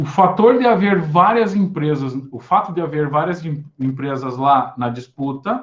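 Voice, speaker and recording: Lively intonation marks a man's fairly slow delivery. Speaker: university lecturer. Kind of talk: lecture.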